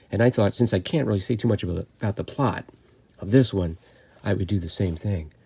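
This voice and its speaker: A man speaks with a very deep, low pitch and a dark, mellow, somewhat breathy tone at a fairly quick pace. The recording is very clean, with a silent background. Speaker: horror film reviewer. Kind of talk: film review monologue. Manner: casual, hesitant with fillers.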